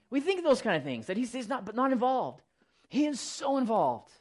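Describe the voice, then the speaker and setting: An animated tone comes through against a quiet background. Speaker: Bible teacher. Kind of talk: sermon. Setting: church. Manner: fast talker.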